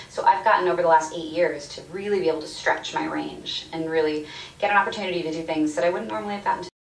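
Speech at a very fast pace carries audible room echo and light background noise. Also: woman, fairly low pitch for a woman, ordinary pitch variation. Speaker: voice actor. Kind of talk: interview answer. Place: office.

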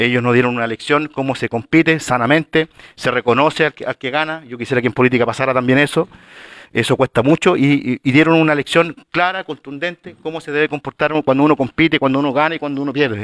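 Against a quiet background with a dry, echo-free sound, a man with a fairly high pitch speaks at a very fast pace with fairly even intonation. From Chile. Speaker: city councillor. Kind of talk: formal council meeting. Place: meeting room.

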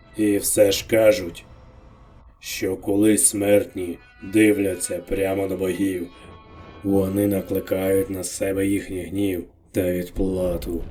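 In a put-on character voice, a man speaks fairly slowly at a fairly low pitch, leaving long, frequent pauses while faint music plays behind him. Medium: fan dub. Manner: grave, unhurried.

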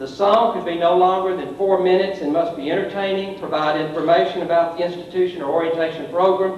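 A man's high voice at a fairly quick pace, fairly even in intonation, with audible room echo and light background noise. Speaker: presenter. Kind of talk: formal report to a board. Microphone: podium.

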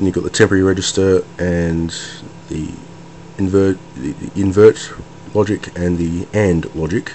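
Noticeable background noise sits behind the speaker. A man speaks at a very deep, low pitch and a moderate pace. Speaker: hobbyist computer builder. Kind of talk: casual hardware demo to camera.

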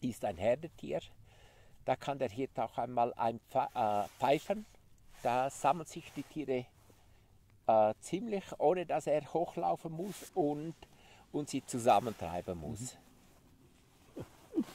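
Very slow and full of long, frequent pauses, a man's dark, mellow voice has vocal fry and very wide pitch swings, with a dry sound and no echo. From Graubünden, Switzerland. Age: 50s. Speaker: sheep farmer; interviewee. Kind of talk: interview. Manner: halting. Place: open country.

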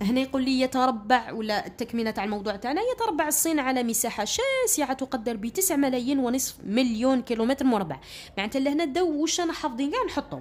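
A woman speaks with an Algerian accent and a high pitch. Her intonation is lively, with hardly any pauses. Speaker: school teacher. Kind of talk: tutorial. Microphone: phone near.

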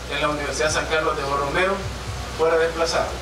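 Over noticeable background noise and audible room echo, a man talks in a raised, projected voice. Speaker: mayor giving a commemorative speech. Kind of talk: formal public speech. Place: stage.

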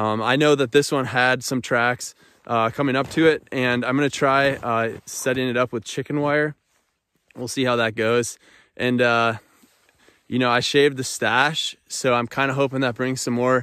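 A man talks at a moderate pace in a bright, sharp tone with monotone, flat intonation. The sound is dry with no echo, over a quiet background. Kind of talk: casual vlog chat. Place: open country. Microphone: phone near.

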